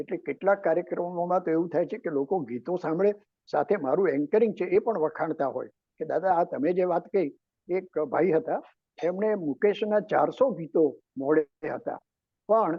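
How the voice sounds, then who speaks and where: The man has a high pitch. His pitch varies in an ordinary way. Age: 80s+. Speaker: political analyst, anchor, story writer. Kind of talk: interview answer.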